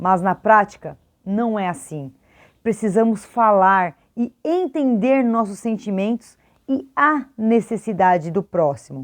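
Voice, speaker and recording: Very slowly, a woman speaks at a medium pitch with lively intonation. The background is quiet. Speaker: teacher and educational youtuber. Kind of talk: educational video talk.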